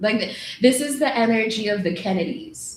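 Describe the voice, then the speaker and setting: A woman with an American accent speaks at a moderate pace over noticeable background noise. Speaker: tarot reader. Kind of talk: live tarot reading.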